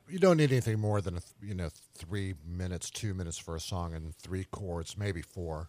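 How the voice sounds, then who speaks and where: Captured in a very clean recording with a silent background, a man with a very deep, low pitch speaks at a moderate pace with big swings in loudness. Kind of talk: radio DJ patter, fundraising pledge-drive chat. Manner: rambling, jokey, off-the-cuff, laughing at own lines; easygoing, chatty, loosely ad-libbed.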